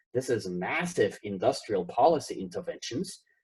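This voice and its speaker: Speaking with an Austrian accent, a man moves along at a fairly quick pace. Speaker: professor. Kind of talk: conference keynote lecture.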